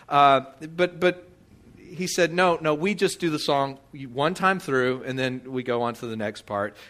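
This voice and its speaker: A man with an American accent speaks in a bright, sharp tone with ordinary pitch variation. The recording is very clean, with a silent background. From Texas. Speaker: pastor. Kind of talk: sermon. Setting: church. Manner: halting, many repeated words.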